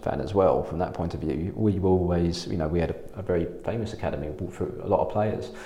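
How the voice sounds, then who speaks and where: In an English accent, the speaker talks at a very fast pace with ordinary pitch variation over noticeable background noise. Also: man. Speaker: podcast host. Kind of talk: casual interview chat.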